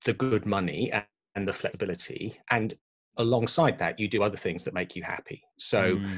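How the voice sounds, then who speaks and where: The man here speaks at a moderate pace. His pitch is fairly low, with ordinary variation. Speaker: podcast guest. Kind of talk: interview answer. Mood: reflective, calm. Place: home room. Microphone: studio mic.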